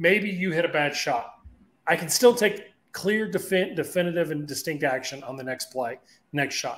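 A man with a high pitch and lively intonation speaks at a moderate pace. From Louisiana. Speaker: sports psychologist podcast host. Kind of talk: interview. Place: home room.

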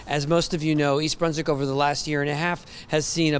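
A man talks at a fairly quick pace. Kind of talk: ceremony speech. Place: street. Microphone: handheld.

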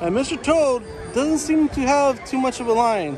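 A man is speaking, and the sound is dry with no echo. Clear music plays in the background. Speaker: vlogger. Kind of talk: casual vlog commentary. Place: street. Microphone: phone near.

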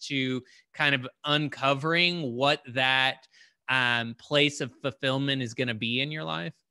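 A man speaks at a fairly slow pace and medium pitch, with a bright, sharp tone and ordinary pitch variation. The sound is dry with no echo over a quiet background. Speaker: entrepreneur coach, interviewer. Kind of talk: casual conversation. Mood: warm, reflective. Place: home room. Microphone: video call.

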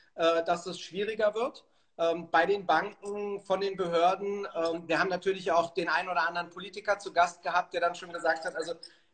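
A man's high pitch at a fairly quick pace, flat and monotone in intonation. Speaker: remote guest. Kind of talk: interview answer. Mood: calm, reflective. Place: home room. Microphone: phone near.

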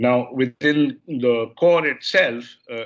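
The speaker is a man. Behind him, the background stays quiet. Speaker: university lecturer. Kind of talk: lecture. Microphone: webcam.

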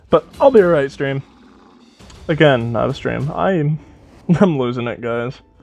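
A man talks at a fairly high pitch, with ordinary pitch variation and a fairly slow pace. He leaves long, frequent pauses while music plays in the background. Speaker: gaming YouTuber. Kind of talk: gameplay commentary. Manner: casual, rambling with fillers.

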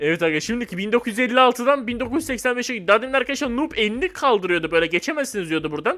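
This raised, projected voice has a bright, sharp, animated tone and very wide swings in pitch. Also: man. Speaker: gaming YouTuber. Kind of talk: gameplay commentary.

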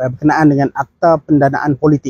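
Somewhat breathy and dark, mellow in tone, a man speaks at a fairly quick pace. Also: dry sound with no echo. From Malaysia. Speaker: political commentator. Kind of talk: political commentary monologue. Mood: earnest, critical. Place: open country. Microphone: phone near.

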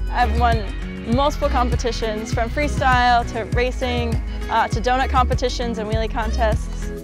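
Clear music plays behind a woman speaking at a moderate pace, the sound dry with no echo. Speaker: monster truck driver. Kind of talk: interview answer. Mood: cheerful, enthusiastic. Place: open country.

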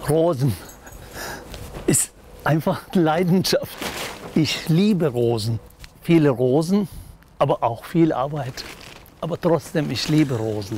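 A man's fairly high voice with lively intonation, very slow with long, frequent pauses, in a dry sound with no echo and light background noise. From Turkey. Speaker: social worker. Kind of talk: interview answer. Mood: warm, proud.

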